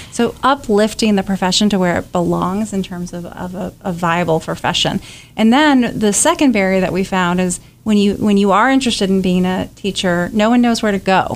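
An ordinary speaking voice from a woman with an American accent, medium in pitch, with ordinary pitch variation. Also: fairly quick pace. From rural North Carolina. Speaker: education advocacy nonprofit leader. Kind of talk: radio interview.

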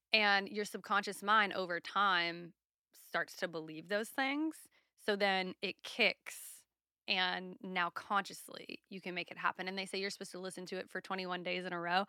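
In a very clean recording with a silent background and a dry, close sound with no echo, a woman with a slight Southern US accent speaks at medium pitch and moderate pace in a bright, sharp tone, with big swings in loudness. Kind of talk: casual chat. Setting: studio.

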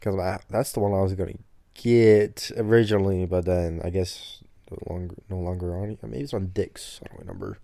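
A man's very deep, low, dark and mellow voice at a fairly quick pace, with fairly even intonation, on a very clean recording against a silent background. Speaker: podcast co-host. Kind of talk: casual chat. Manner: casual, joking.

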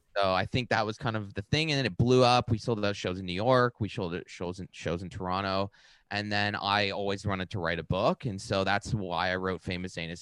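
Dry and close with no echo on a very clean, silent recording, a man with a fairly low voice and an unremarkable speaking voice talks at a fairly quick pace with hardly any pauses and ordinary pitch variation. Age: 30s. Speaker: stand-up comedian and author. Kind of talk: casual interview chat.

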